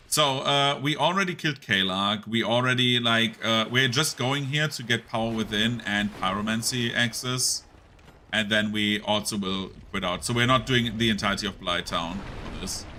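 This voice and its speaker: A man at medium pitch with a German accent, moderate pace, ordinary pitch variation, and noticeable background noise. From Germany. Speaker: video game streamer. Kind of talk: live gameplay commentary. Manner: casual, filler-heavy.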